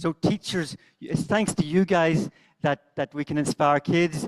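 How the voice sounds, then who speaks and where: A man's strong Northern Irish accent, with ordinary pitch variation and a dry, close sound with no echo. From Northern Ireland. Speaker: conference speaker, teacher trainer. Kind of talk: conference talk. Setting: stage with audience. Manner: fast.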